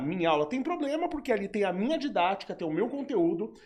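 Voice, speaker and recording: His pitch is high and swings very widely. The man talks at a fairly quick pace. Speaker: professor. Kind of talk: casual chat. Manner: fast.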